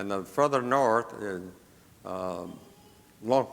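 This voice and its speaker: Pitch moves in an ordinary way. The pace is very slow. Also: man. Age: 80s+. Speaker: missionary running safe houses for girls. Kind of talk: church presentation with slides. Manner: halting, with repetitions.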